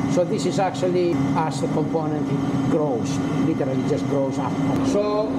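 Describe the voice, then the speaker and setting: A man talks at a moderate pace with ordinary pitch variation over loud background noise. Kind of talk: guided tour explanation. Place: workshop. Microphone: phone near.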